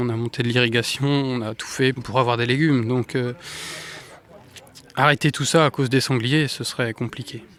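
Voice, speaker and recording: Noticeable background noise sits under this speech. The delivery is moderately paced, its intonation fairly even. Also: man. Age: young. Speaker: farmer. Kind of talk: interview.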